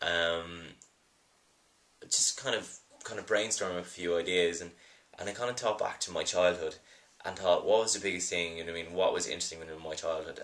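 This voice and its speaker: Here a man speaks with an Irish accent. His pace is fairly quick. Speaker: film producer. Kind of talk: video blog monologue. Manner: halting, many fillers.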